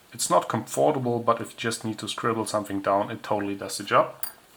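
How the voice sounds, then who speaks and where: A man speaks at a fairly low pitch with a non-native accent. His intonation stays fairly even. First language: not English. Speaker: tech hobbyist reviewer. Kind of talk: product review. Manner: casual, with hesitations.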